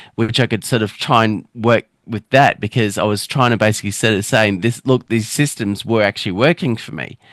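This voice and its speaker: Someone with an Australian accent speaks at a fairly quick pace with ordinary pitch variation, recorded very cleanly in a dry, close sound with no echo over a silent background. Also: man. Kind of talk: casual interview chat. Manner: halting, broken-up speech with restarts; many filler words.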